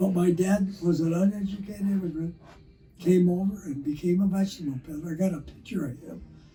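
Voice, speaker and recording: Over music in the background, a man with a Californian accent talks at a high pitch and a fairly quick pace. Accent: Californian American English. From Los Angeles, California. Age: 90s. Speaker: Korean War veteran and car builder. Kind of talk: interview. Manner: animated.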